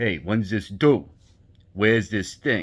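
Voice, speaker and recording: A man uses a gruff, put-on character voice with an Italian accent, pitched fairly low and delivered at a fairly slow pace. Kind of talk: curt, demanding.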